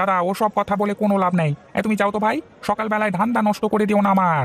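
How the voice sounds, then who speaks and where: A cartoonish character voice pitched fairly high. It rattles along at a very fast pace. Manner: brusque, dismissive.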